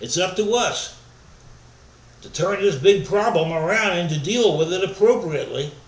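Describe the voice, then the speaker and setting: With audible room echo, a man talks at a moderate pace in a high pitch with ordinary pitch variation, big swings in loudness and long, frequent pauses. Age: 60s. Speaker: pastor. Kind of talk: sermon.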